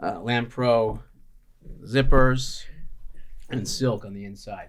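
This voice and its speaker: Audible room echo surrounds a man speaking very slowly in an American accent. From Chicago, US Midwest. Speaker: chef and restaurant owner. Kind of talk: podcast interview. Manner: casual, many filler words.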